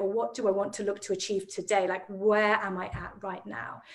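A woman with a medium pitch is heard against a quiet background. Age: 40s. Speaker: emotional healing practitioner; guest. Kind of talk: casual interview chat. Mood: earnest, reflective. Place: home room. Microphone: video call.

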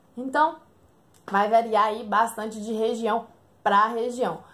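Her tone animated, a woman speaks with a high pitch. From rural Brazil. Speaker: motorcycle vlogger. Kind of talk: casual vlog review. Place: home room. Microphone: phone near.

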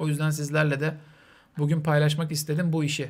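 A man's fairly high-pitched voice. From Turkey. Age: 30s. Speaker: streamer. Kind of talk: charity livestream talk. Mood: calm, serious, subdued. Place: home room. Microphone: studio mic.

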